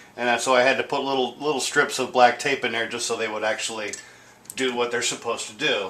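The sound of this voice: A man's fairly low voice, bright and sharp in tone, at a fairly quick pace with audible room echo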